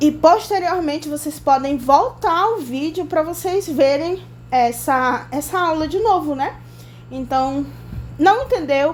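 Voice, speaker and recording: Very slowly, a woman talks in a high voice with ordinary pitch variation, and the room echo is audible. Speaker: biology teacher. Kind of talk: lecture.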